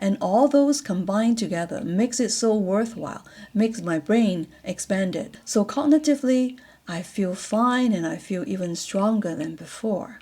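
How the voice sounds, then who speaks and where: A woman with a fairly high pitch and a dark, mellow tone talks at a moderate pace, somewhat breathy, with lively intonation. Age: 60s. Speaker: vlogger and retiree sharing life reflections. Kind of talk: personal reflective monologue. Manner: hesitant with fillers.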